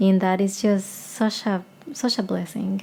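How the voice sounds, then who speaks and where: Speaking with a Spanish accent, a woman has a medium pitch and a dark, mellow tone. Her voice is somewhat breathy and her intonation fairly even. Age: 30s. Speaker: singer-songwriter. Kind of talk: casual vlog chat. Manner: rambling, hesitant.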